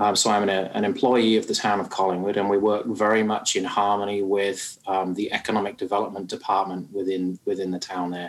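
A man with a British accent talks at a fairly quick pace, with hardly any pauses. His fairly low voice has monotone, flat intonation. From United Kingdom. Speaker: small business advisor. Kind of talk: interview.

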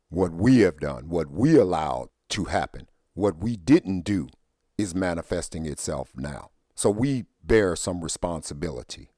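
A man's dark, mellow voice with vocal fry, moderate pace, and a dry, close sound free of echo. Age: 50s. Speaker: podcast host. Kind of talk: solo monologue.

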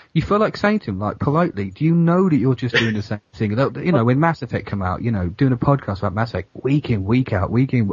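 A man at a medium pitch rushes along at a very fast pace with hardly any pauses. His voice is somewhat breathy and makes very wide pitch swings. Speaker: podcaster. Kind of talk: casual chat.

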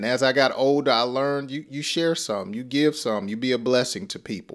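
A man with a Southern US accent speaks in a warm, upbeat tone on a very clean recording with a silent background. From US South (Georgia). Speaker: English teacher. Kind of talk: lesson. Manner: slow.

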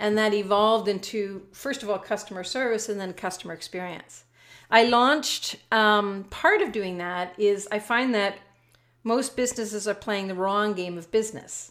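A woman with a Canadian accent and an unremarkable speaking voice, medium pitch, fairly even intonation and moderate pace on a very clean recording with a silent background. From Canada. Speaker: business coach and author. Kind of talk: casual interview.

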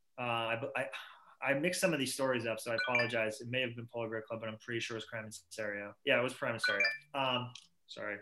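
Noticeable background noise sits under a man speaking in a Boston accent. He talks at a very fast pace with fairly even intonation. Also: medium pitch for a man. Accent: Boston-area New England. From Massachusetts. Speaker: rock band singer. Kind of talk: casual interview chat. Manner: talkative, rambling.

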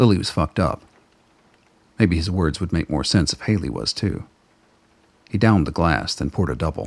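A man with a very deep, low pitch, a fairly quick pace and lively intonation. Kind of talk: radio play narration. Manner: measured, dramatic storyteller pacing.

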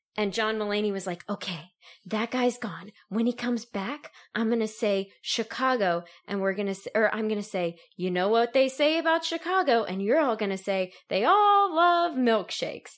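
This woman has a normal speaking voice, pitched fairly high, with lively intonation at a moderate pace. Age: 20s. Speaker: law student. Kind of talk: casual chat.

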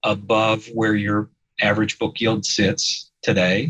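Speaking at a very slow pace, a man with a fairly low pitch talks in a Midwestern US accent. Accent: US Midwest. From Indiana, Fort Wayne. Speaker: insurance investment executive. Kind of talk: podcast interview.

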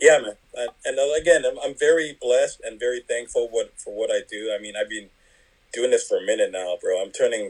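The man talks fairly quickly. His volume rises and falls sharply. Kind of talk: casual interview. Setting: phone call.

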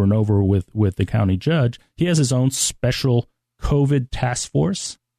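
A man's dark, mellow voice at a moderate pace, with ordinary pitch variation, in a dry, close sound with no echo and a quiet background. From Mexico City. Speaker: school trustee and attorney. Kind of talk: interview. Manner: halting.

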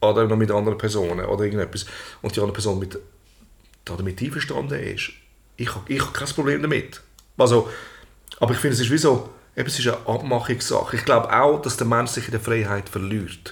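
Talking at a very fast pace, a man sounds somewhat breathy, uses ordinary pitch variation, and leaves long, frequent pauses. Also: medium pitch for a man. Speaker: podcast co-host and entertainer. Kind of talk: casual chat.

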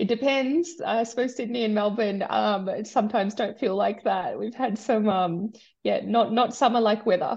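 Somewhat breathy and fairly high-pitched, a woman with an Australian accent speaks at a moderate pace with ordinary pitch variation. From Australia, migrated from India at nine. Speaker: sustainability executive. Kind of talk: interview. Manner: hesitant, many fillers.

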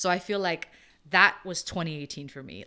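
With an American accent, a woman speaks in a bright, sharp tone at a moderate pace, with ordinary pitch variation. The recording is very clean, with a silent background. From US East Coast, New Jersey. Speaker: immigration activist. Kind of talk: interview.

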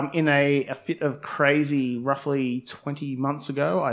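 A plain, everyday voice with ordinary pitch variation comes through over a quiet background. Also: man. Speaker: blind tasting winner. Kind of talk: casual chat.

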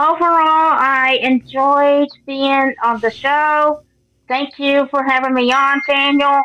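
A woman's high, bright and sharp voice, raised and projected, with an American accent, a very slow pace, fairly even intonation and very even loudness. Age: 30s. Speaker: airport service ambassador and athlete. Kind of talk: interview.

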